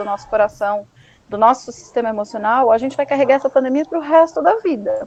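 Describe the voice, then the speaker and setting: A woman's high-pitched voice with lively intonation at a fairly quick pace, over noticeable background noise. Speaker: psychoanalyst. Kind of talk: educational talk. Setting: live stream. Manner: animated.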